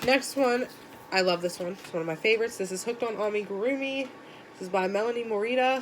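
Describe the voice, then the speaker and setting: A woman with a fairly high voice talks at a very fast pace. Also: ordinary pitch variation. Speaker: crochet YouTuber. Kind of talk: casual book tag show-and-tell. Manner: casual, filler-heavy; volume varies.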